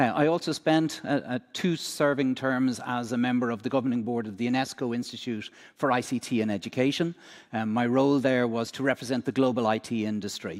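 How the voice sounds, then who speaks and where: This man's voice sits at a medium pitch and rises and falls in a normal way. He delivers his words at a fairly brisk clip. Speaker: education technology executive. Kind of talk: conference presentation. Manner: hesitant, many fillers.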